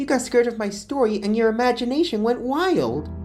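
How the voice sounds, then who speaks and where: A female-sounding voice puts on a character at a high pitch. The pace is fairly quick, with clear music in the background. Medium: read story.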